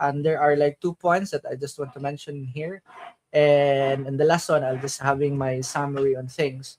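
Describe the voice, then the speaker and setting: A man with a Filipino accent speaks at a moderate pace. His pitch is fairly high and his intonation monotone and flat. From Philippines. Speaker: crypto streamer. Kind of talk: conference panel talk. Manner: halting.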